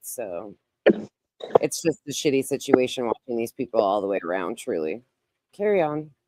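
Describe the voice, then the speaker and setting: Using a put-on character voice, a man speaks raspily at a medium pitch and moderate pace, with very wide pitch swings and long, frequent pauses. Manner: fed up.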